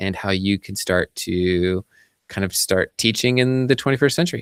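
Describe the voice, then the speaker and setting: A man's unremarkable speaking voice, fairly low in pitch with ordinary pitch variation, in dry, close sound with no echo on a very clean recording with a silent background. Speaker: teacher and podcast co-host. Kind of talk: casual chat.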